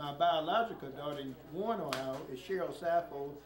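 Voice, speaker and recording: A man with ordinary pitch variation talks at a fairly quick pace, with audible room echo and noticeable background noise. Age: 70s. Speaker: preacher and community activist. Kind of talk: public speech at community meeting. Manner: frequent filler 'okay' and hesitations.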